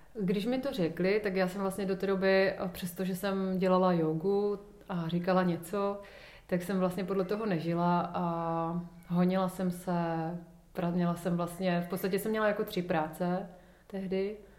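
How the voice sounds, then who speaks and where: Her intonation monotone and flat, a woman talks at a fairly slow pace in a medium pitch, with audible room echo. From Ostrava, Czech Republic. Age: 30s. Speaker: yoga teacher. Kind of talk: casual interview.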